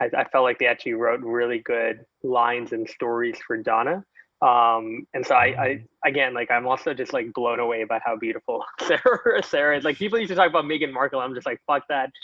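A man with a Canadian accent and a normal speaking voice talks fairly quickly in a medium pitch, with ordinary pitch variation. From Canada. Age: 20s. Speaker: entrepreneur. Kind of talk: casual chat.

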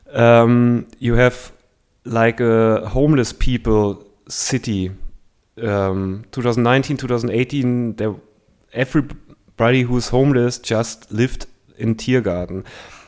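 A man speaks with a German accent at a fairly slow pace. His intonation is fairly even, with long, frequent pauses. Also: medium pitch for a man. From Germany. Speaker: comedian and former journalist. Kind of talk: casual interview chat. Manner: halting, hesitant in English.

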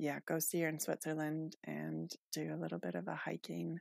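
The recording is very clean, with a silent background and a dry, close sound with no echo. A woman speaks at a fairly slow pace. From Canada, rural Manitoba. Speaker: trail runner and hiker. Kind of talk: casual interview chat.

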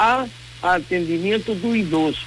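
Noticeable background noise sits behind a man with a Spanish accent. He talks at a very slow pace in a raised, projected voice. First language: Spanish (speaking Portuguese). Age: 60s. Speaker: environmental consultant and professor. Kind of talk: radio interview. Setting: remote from home.

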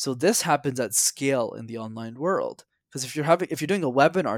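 A man's ordinary speaking voice with a Canadian accent, fairly high in pitch and at a fairly quick pace, with a dry, close sound with no echo and a very clean recording with a silent background. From Quebec, Montreal. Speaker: public speaking coach. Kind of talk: interview.

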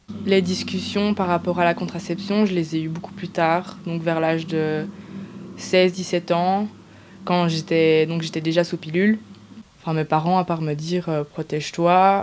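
Keeping a fairly even intonation, a woman with a fairly low pitch speaks at a fairly slow pace. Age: 20s. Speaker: testimony interviewee. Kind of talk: personal testimony. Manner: halting.

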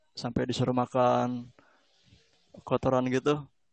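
A man with a medium-pitched voice talks at a moderate pace. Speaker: podcast host. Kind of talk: casual interview. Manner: relaxed, conversational, friendly.

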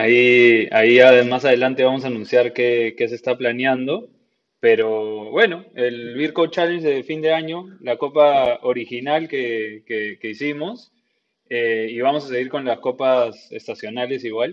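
At a fairly slow pace, a man speaks with ordinary pitch variation. His pitch is medium. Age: 30s. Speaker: podcast host and homebrewer. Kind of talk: casual interview.

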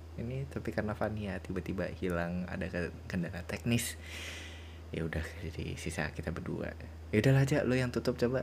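Talking at a fairly quick pace, a man with a very deep, low voice sounds somewhat breathy and uses lively intonation. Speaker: podcast host. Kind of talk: casual chat. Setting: video call. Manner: animated.

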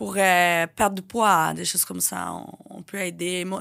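A woman with a Portuguese accent in a very clean recording with a silent background. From Brazil. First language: Portuguese (speaking French). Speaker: influencer and reality TV personality. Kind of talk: casual interview.

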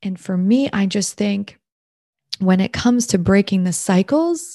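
Somewhat breathy, with a Canadian accent, the voice moves at a fairly slow pace with ordinary pitch variation and a dry, close sound with no echo. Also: woman. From Ontario, Canada. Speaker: podcast host and mom coach. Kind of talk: solo podcast monologue.

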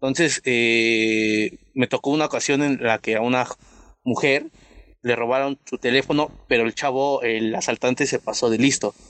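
With an unremarkable speaking voice, a man talks at a moderate pace in a medium pitch, with fairly even intonation and very even loudness. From Mexico City. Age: young. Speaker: youth community member. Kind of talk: panel discussion. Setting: video call.

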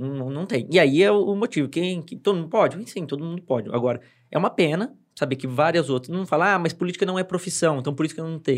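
Very fast, lively intonation from a man with fairly high pitch, on a very clean recording with a silent background. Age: 30s. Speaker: city councillor and advertising professional. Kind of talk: casual chat. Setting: studio.

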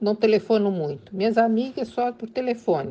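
This woman's voice has a dark, mellow tone and a fairly high pitch. She talks fairly slowly with lively intonation. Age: 70s. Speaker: homemaker, interviewee. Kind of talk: interview testimony.

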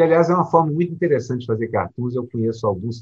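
With lively intonation, a man speaks in a somewhat breathy voice. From Brazil, Minas Gerais. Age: old. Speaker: cartoonist and podcast co-host. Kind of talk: casual chat.

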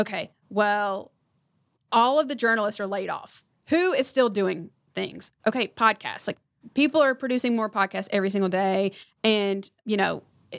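An ordinary speaking voice with an American accent moves at a moderate pace with ordinary pitch variation, captured in a very clean recording with a silent background and a dry, close sound with no echo. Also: woman, fairly high pitch for a woman. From North Carolina, Harnett County. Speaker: publicist. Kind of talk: casual interview. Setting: studio.

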